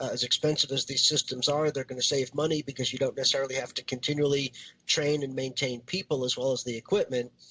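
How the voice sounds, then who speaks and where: Over noticeable background noise, a man with a fairly high pitch talks at a very fast pace in a monotone, flat intonation. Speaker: podcast co-host. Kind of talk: casual chat.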